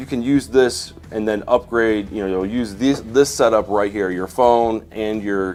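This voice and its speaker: Ordinary pitch variation at a fairly slow pace, with music in the background. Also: man. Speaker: YouTuber and wedding videographer. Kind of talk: live stream tutorial. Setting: home studio live stream. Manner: halting, many fillers.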